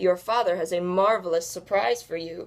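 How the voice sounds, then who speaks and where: Using a put-on character voice, a woman growls at medium pitch and a moderate pace. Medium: read story. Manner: sly, scheming.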